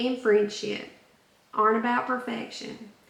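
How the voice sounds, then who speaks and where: A woman's voice over noticeable background noise. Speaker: self-help podcast host. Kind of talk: inspirational self-help talk.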